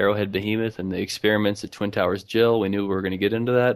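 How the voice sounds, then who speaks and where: A man with an American accent speaks at a very fast pace in a fairly low, monotone, flat voice, recorded very cleanly over a silent background. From Arkansas, US South. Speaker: podcast host, fan commentator. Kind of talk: casual chat, recap discussion.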